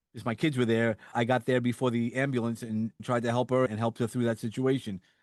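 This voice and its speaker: A man at medium pitch with a slight New York accent, very fast and monotone, in a dry, close sound with no echo. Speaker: suicide survivor and motivational speaker. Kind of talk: interview conversation. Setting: podcast interview.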